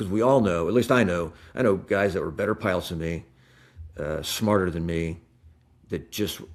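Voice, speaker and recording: On a very clean recording with a silent background, the talking runs at a fairly quick pace. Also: man. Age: 60s. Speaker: retired fighter pilot and airline captain. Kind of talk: podcast interview. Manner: halting, many fillers and restarts.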